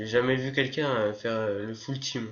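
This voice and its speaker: A flat, monotone delivery from a man's medium-pitched voice. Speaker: gamer. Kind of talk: gameplay commentary.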